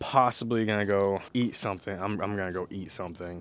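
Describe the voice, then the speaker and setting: A man talks at a fairly low pitch. The sound is dry with no echo. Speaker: diy vlogger. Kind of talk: casual vlog chat. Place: garden. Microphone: phone near.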